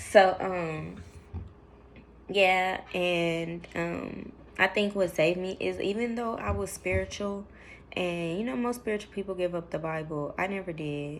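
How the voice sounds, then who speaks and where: A woman speaks at a fairly slow pace. Her fairly low pitch shows ordinary variation. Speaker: vlogger. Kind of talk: personal testimony vlog. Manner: mumbles when emotional, drops low; hesitant, many fillers.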